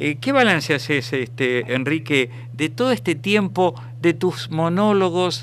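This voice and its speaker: A man with a Rioplatense accent speaks at a fairly slow pace, his pitch fairly high and his intonation lively. His loudness stays very even against noticeable background noise. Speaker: radio host. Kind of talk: interview.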